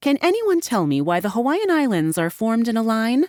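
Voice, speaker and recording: A put-on character voice, female-sounding and fairly high-pitched, with very wide pitch swings at a fairly quick pace. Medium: read story. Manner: brisk, businesslike.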